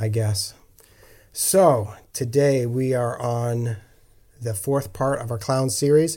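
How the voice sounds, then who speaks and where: A somewhat breathy man of medium pitch talks at a very slow pace with ordinary pitch variation and long, frequent pauses. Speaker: podcast co-host. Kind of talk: casual chat, faith discussion. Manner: laughs often, friendly.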